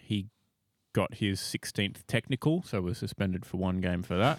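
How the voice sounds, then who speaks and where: In an Australian accent, a man talks with a fairly low pitch. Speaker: podcast co-host. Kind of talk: casual chat. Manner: dry.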